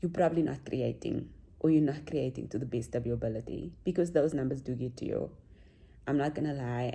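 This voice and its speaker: A soft-spoken woman with a very deep, low pitch, vocal fry and a dark, mellow tone talks at a fairly quick pace with ordinary pitch variation. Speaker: vlogger. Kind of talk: casual vlog talk.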